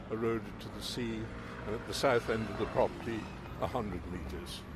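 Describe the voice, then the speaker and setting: Amid noticeable background noise and audible room echo, a man with an English accent speaks at a fairly quick pace and a medium pitch. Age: 80s+. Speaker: retired homeowner campaigning against coastal erosion. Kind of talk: interview. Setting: Houses of Parliament.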